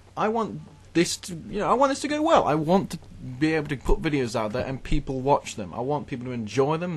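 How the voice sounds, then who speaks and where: A man's somewhat breathy voice, fairly high in pitch, at a very fast pace. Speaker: gaming YouTuber. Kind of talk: gameplay commentary monologue. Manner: rambling, halting.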